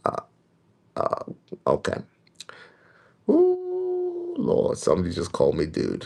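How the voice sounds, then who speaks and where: A man speaks quietly at a very slow pace, with long, frequent pauses. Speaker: prophetic preacher. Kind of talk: livestream teaching. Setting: livestream at home. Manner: quiet, kept low. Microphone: may be too quiet.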